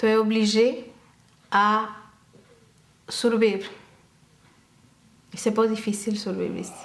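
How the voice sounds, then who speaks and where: A woman with an Argentine accent speaks at a fairly slow pace, pitched fairly high, with long, frequent pauses. Her intonation is monotone and flat, and audible room echo is present. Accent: Argentine Spanish accent in Quebec French. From Argentina. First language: Spanish (speaking French). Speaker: dance teacher and school owner. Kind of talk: interview.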